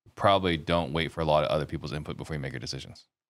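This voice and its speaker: A man's very deep, low voice with vocal fry, ordinary pitch variation and a very fast pace. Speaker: podcast host. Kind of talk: podcast interview.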